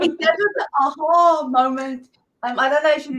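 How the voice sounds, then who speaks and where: Speaking with a South African accent, a woman has a high-pitched voice. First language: Afrikaans. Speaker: online business coach for women. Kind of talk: interview.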